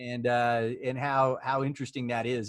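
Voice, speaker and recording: At a moderate pace, a man talks with a slight Oklahoma accent. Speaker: immigration law firm CEO, interview host. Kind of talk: casual interview.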